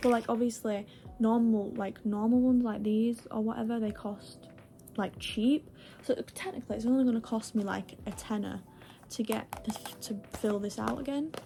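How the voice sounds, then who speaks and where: Someone speaks at a moderate pace with a British accent, over noticeable background noise. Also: woman. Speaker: vlogger. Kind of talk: casual vlog chat. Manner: rambling, filler-heavy.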